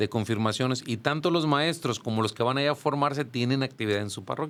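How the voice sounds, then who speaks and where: A very fast pace marks this man's medium-pitched voice, which has ordinary pitch variation in a very clean recording with a silent background. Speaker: church music teacher and choir director. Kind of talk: podcast interview.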